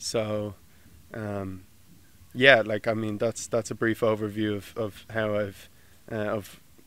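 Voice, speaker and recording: A man's fairly low-pitched voice in a Dublin accent, very slow and monotone, with long, frequent pauses, on a very clean recording with a silent background. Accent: Dublin Irish. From Ireland, Dublin. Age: 20s. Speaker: graduate student. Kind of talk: interview. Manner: halting, many fillers.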